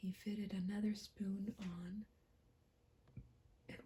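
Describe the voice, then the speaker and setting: Whispering at a very slow pace, a soft-spoken woman has a gentle tone and a somewhat breathy sound. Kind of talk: gentle whispered ASMR fairy tale story reading. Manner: whispered, gentle, soft.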